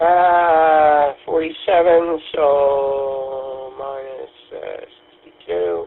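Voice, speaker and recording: Noticeable background noise sits behind a man with a fairly high voice. He speaks at a very slow pace with ordinary pitch variation. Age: 60s. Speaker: radio amateur. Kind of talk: radio net chat. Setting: amateur radio. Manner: halting.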